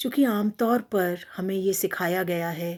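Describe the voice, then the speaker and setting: In a very clean recording with a silent background, a woman speaks at a medium pitch with ordinary pitch variation and a dark, mellow tone. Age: 60s. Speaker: retired professor, poet and writer. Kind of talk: talk to camera on a social issue.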